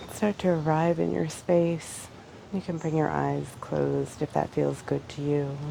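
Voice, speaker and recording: Fairly slow speech from a woman, with noticeable background noise behind it. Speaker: yoga instructor. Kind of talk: guided yoga class instruction.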